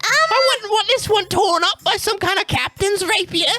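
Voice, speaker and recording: A man's put-on character voice at a moderate pace. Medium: actual play. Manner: chatty, cheeky, enthusiastic.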